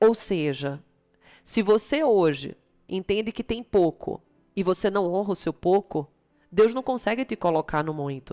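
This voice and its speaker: Music plays behind a woman at a medium pitch, with a dry, close sound and no echo. She talks at a fairly slow pace with lively intonation and long, frequent pauses. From Brazil, Recife (Pernambuco). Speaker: motivational speaker and author. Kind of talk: motivational talk with religious themes. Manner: direct address to the listener.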